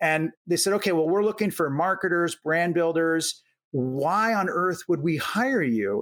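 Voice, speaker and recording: Talking fairly slowly, a man with an American accent uses a high pitch and lively intonation. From US Midwest, Omaha, Nebraska. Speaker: venture capitalist. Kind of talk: interview. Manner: conversational, repeats words.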